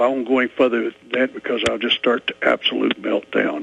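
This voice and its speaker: Background noise is noticeable here. Over it, a man talks fairly quickly. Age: 70s. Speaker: retired Air Force pilot, caller. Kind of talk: call-in talk radio.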